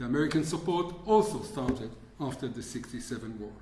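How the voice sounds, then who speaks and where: Recorded with audible room echo and noticeable background noise, a man speaks at a moderate pace. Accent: non-native. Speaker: historian. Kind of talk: lecture. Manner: reading from script.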